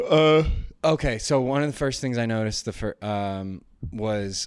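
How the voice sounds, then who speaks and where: A man talks at a fairly slow pace with a medium pitch. It is a plain, everyday voice with ordinary pitch variation. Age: 30s. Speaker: podcast co-host. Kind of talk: casual chat.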